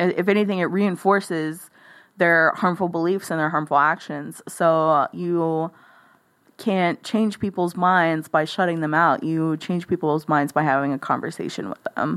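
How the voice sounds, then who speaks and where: At a moderate pace, a plain, everyday voice with an American accent and ordinary pitch variation comes through on a very clean recording with a silent background. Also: woman, fairly low pitch for a woman. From rural South Texas (Live Oak County). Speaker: broadcast engineer and podcast editor. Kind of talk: casual interview. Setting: in person at host's apartment.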